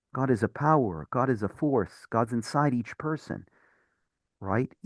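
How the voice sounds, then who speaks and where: A man's medium-pitched voice with ordinary pitch variation, dry and close with no echo, over a quiet background. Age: 30s. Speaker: rabbi. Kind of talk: bible study teaching. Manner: animated.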